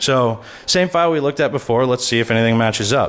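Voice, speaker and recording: The speech moves at a fairly quick pace. Its pitch varies in an ordinary way. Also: man. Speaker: conference speaker on malware analysis. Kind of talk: conference talk with live demo. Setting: stage with audience. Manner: fast.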